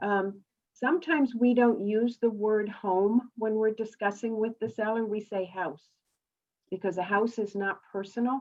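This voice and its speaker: Speaking at a moderate pace, a woman with an unremarkable speaking voice uses ordinary pitch variation at a fairly high pitch. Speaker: real estate coaching director. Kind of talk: training webinar. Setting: video call with screen share.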